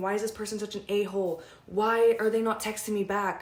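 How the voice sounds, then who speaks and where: Her tone animated, a woman speaks at a medium pitch. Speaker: manifestation coach. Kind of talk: casual vlog talk. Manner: fast.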